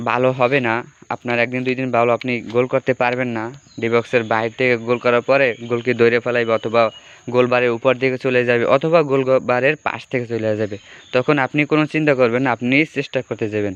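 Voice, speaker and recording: Over noticeable background noise, a man of medium pitch speaks in a monotone, flat intonation, the sound dry and close with no echo. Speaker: mobile football game streamer. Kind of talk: casual live stream chat. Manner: halting.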